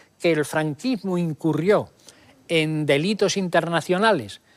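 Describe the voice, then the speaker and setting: Recorded very cleanly with a silent background, a man with a high pitch speaks at a very slow pace using lively intonation. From Andalusia, Spain. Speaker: historian. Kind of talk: TV interview answer.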